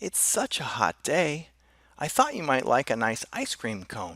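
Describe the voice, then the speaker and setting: A man's put-on character voice, fairly high-pitched, at a moderate pace. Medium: read story.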